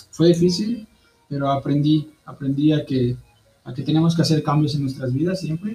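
Fairly high-pitched male speech at a moderate pace, with ordinary pitch variation and music in the background. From Mexico, Veracruz. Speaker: missionary. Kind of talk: interview.

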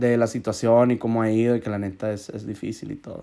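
This very clean recording has a silent background. A man does the talking. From Mexico, Hermosillo, Sonora. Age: 20s. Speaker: podcast host. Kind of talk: casual monologue.

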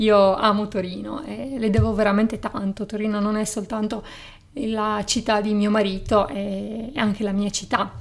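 Flat, monotone intonation marks this woman's speech at a moderate pace. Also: medium pitch for a woman. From Sardinia. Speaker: psychologist and podcast host. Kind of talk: casual chat.

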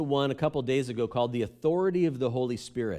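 In a very clean recording with a silent background, a man with a plain, everyday voice speaks at a medium pitch with lively intonation. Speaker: pastor. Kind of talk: sermon. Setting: church. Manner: casual, conversational.

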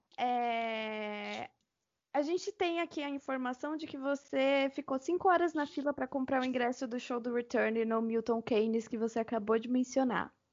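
A woman talks at a moderate pace in a high pitch with ordinary rises and falls. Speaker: podcast host. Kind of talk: casual chat. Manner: animated.

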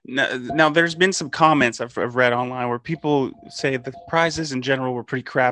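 With an unremarkable speaking voice, a man talks at a fairly quick pace with hardly any pauses, medium pitch and ordinary pitch variation. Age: 30s. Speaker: podcast host and DJ. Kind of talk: casual interview chat.

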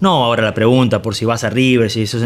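An ordinary speaking voice from a man at medium pitch and a fairly quick pace. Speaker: former footballer, podcast host. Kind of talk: casual interview chat.

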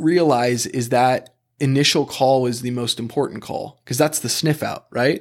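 A plain, everyday voice from a man, at a moderate pace, with ordinary pitch variation. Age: 30s. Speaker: personal injury attorney. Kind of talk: casual chat.

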